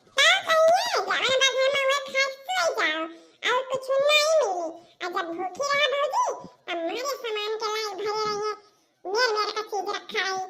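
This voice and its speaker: This female-sounding, cartoonish character voice sits at an extremely high pitch. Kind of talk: comic rustic dialect cartoon. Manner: gossipy.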